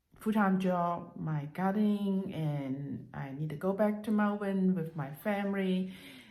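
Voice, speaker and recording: A woman's dark, mellow voice at medium pitch, with ordinary pitch variation and a very slow pace, plus audible room echo. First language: Cantonese and Mandarin. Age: 50s. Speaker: language learning vlogger. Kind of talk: casual vlog monologue. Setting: at home. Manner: halting, many fillers.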